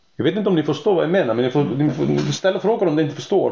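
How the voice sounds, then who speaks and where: A man with a fairly high pitch talks at a very fast pace with lively intonation against noticeable background noise. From Iceland. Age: 40s. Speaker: horse trainer. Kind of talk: interview.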